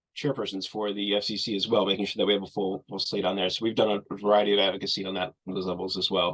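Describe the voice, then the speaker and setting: A man's fairly low voice over a quiet background. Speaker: nonprofit executive director. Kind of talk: webinar Q&A. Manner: fast.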